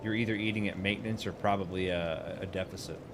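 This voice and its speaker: A man's unremarkable speaking voice at a fairly low pitch and moderate pace. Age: 40s. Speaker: gaming streamer. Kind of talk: casual live stream chat while gaming. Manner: casual, filler-heavy.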